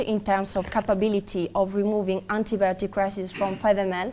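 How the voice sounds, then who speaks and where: Someone with an Italian accent talks at a moderate pace in a dark, mellow tone. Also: woman. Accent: Italian accent, non-native English. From Italy. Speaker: research scientist at a medical device company. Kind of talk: conference presentation. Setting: conference hall with audience. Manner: halting, many fillers.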